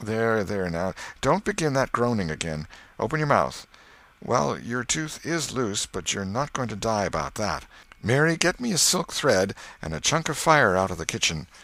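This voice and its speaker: Putting on a character voice, a man speaks raspily at a moderate pace and a medium pitch. His pitch swings very widely. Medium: read story. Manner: brisk, scolding.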